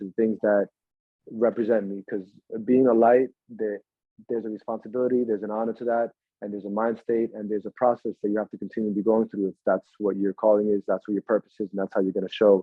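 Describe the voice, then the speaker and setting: A very fast-talking man with a Spanish accent and fairly low pitch. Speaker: actor. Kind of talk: interview. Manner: animated.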